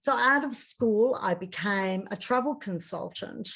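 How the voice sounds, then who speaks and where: Against a quiet background, a woman with an Australian accent speaks at a fairly slow pace with ordinary pitch variation. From Australia, Sydney. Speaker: coach and hypnotherapist. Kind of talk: interview.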